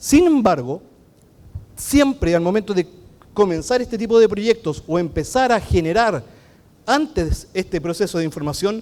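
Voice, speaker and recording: With a Chilean accent, this man speaks at a high pitch. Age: 40s. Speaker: architect and BIM consultant. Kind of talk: conference talk. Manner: fast.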